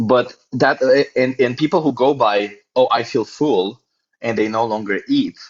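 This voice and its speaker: Talking at a fairly slow pace, a man uses a medium pitch with ordinary pitch variation. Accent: non-native. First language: not English. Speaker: vegan debater, nutritionist. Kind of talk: heated debate. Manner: animated; stumbling over words.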